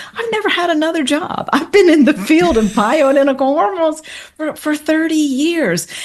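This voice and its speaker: Through noticeable background noise, a high-pitched woman talks at a moderate pace with lively intonation. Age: 60s. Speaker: hormone therapy expert. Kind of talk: interview. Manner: animated.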